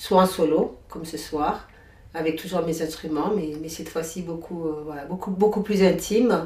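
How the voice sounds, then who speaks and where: Against noticeable background noise and audible room echo, a woman speaks at a moderate pace with a fairly low pitch. Her intonation is fairly even, but her loudness swings widely. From Comoros, raised in France (Drôme). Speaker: singer-songwriter and workshop leader. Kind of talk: interview. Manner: hesitant, many fillers.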